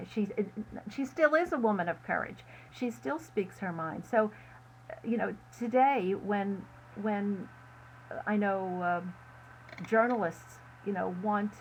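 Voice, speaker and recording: Somewhat breathy and fairly slow, a woman speaks at a medium pitch with lively intonation and long, frequent pauses. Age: 70s. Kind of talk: interview. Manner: halting.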